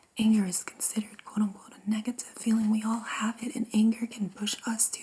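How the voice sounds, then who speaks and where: A soft-spoken woman talks. Her pace is moderate. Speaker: tarot reader and energy healer. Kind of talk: ASMR tarot reading.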